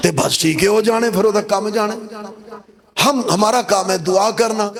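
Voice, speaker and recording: Noticeable background noise runs behind a man whose voice sits at a high pitch. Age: 60s. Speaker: pastor. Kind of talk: sermon.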